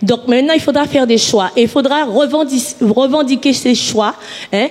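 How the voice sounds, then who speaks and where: At a moderate pace, the speech plays out with noticeable noise in the background. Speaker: audience participant in public debate. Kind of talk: public debate speech. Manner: halting, many repetitions.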